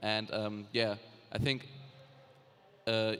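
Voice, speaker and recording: Very slowly, a man delivers his words in a medium pitch. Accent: German. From Germany, Cologne. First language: German. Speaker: YouTube gaming creator and vlogger. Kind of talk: panel discussion. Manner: halting, many fillers.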